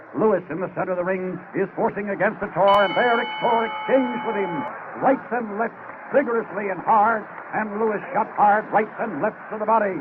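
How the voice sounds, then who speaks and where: An excited man speaks at a high pitch with ordinary pitch variation. Noticeable background noise can be heard. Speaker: radio boxing commentator. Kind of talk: live radio sports commentary, ringside play-by-play. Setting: ringside at a live boxing arena, vintage radio recording. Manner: fast, excited, rapid-fire call of the action.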